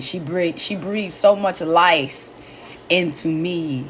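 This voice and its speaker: A woman speaks in a fairly low pitch. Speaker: comedian and live-stream host. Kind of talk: casual live-stream talk about grief. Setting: live stream. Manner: loud.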